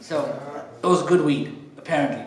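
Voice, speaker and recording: A man with a South African accent speaks at a fairly slow pace, with audible room echo and noticeable background noise. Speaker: comedian and MC. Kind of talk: stand-up. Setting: stage with audience.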